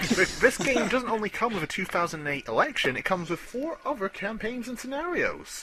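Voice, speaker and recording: Raised and projected, the voice moves at a fairly quick pace with very wide pitch swings and hardly any pauses over noticeable background noise. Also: man, high pitch for a man. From Scotland. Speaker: gaming podcast co-host. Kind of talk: casual chat.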